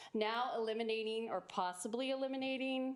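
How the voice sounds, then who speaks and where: At a moderate pace, a woman speaks in a normal speaking voice with a fairly high pitch. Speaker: parent giving public comment. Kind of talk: public comment at school board meeting. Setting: school board meeting.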